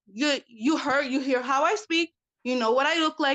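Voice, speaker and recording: Loud and high-pitched, a woman with a strong New York City accent talks at a fairly quick pace with ordinary pitch variation, in a dry, close sound with no echo. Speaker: panelist in a live stream discussion. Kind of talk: heated debate. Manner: animated.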